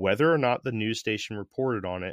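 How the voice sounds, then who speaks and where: Recorded with a dry, close sound and no echo, a man with an American accent has a plain, everyday voice at medium pitch with ordinary pitch variation. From US Northeast, Connecticut. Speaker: podcast host. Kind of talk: scripted narration. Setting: video call.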